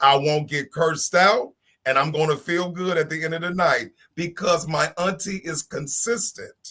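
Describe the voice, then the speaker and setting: This man has a high pitch and a bright, sharp tone, with ordinary pitch variation. He talks at a moderate pace with an American accent. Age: 50s. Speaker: panelist on a talk show. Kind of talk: casual panel discussion.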